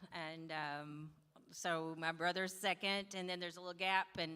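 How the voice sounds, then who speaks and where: This woman's tone is bright and sharp. She keeps a moderate pace. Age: 60s. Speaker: university president's wife. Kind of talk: casual chat.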